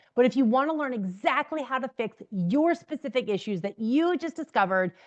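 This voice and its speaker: Loud woman with an American accent, fairly high in pitch, very wide pitch swings, and a dry, close sound with no echo against a quiet background. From New Jersey, US. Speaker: business coach. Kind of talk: direct-to-camera tutorial. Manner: fast.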